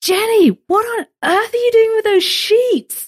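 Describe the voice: A woman's put-on character voice, pitched extremely high and delivered at a fairly slow pace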